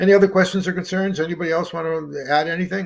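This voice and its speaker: Somewhat breathy describes this man's voice. He speaks fairly quickly. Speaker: presenter at a training webinar. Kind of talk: Q&A wrap-up of online training presentation. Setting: conference call. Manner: fast; halting, many fillers and repetitions.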